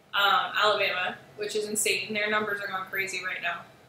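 Noticeable background noise and audible room echo fill the recording. Through them, a woman talks at a fairly high pitch. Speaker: artist livestreaming sketches. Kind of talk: casual livestream chat.

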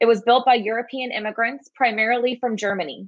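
A woman speaks at a moderate pace with a fairly high pitch. Her pitch variation is ordinary, and the background is quiet. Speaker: program director and webinar host. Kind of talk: moderated live-stream introduction and wrap-up. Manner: friendly, hesitant with filler words. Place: home room. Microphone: webcam.

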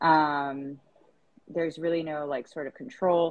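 The speaker is a woman with a very deep, low pitch. Her pitch varies in an ordinary way. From East Africa. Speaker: startup founder; guest. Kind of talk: casual chat. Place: home room. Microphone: earbuds.

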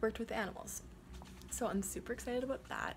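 A woman speaks in a somewhat breathy voice. Light background noise sits behind her. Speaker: vlogger. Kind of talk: casual vlog chat. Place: home room. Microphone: phone near.

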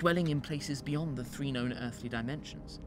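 Speaking at a fairly quick pace, a man has an ordinary speaking voice with a fairly high pitch and ordinary pitch variation. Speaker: actor playing the character of a scholar. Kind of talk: horror narration of a journal, in character.

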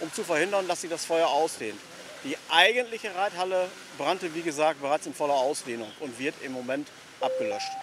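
A man talks fairly fast, with noticeable background noise audible throughout. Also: dry sound with no echo. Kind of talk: interview answer. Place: street.

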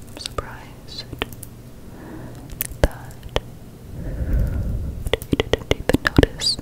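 Soft-spoken whispering at a very slow pace. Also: woman. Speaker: ASMR creator. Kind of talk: soft-spoken ASMR roleplay. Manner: soft ASMR whisper close to mic. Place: home room. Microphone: studio mic.

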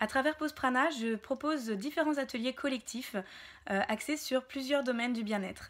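A woman speaks in a high pitch at a moderate pace with ordinary pitch variation. The background is quiet. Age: 30s. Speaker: wellness practitioner and entrepreneur; wellness workshop host. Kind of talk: self-presentation to camera. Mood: warm, smiling, friendly. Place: home room. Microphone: phone near.

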